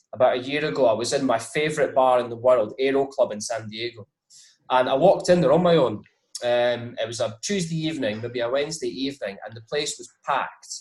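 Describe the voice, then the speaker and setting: With a Scottish accent, a man speaks at a fairly quick pace and medium pitch, somewhat breathy, with ordinary pitch variation and big swings in loudness. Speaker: whisky brand ambassador. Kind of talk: interview.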